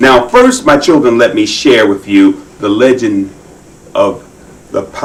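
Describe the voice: What you hear is plain reading aloud.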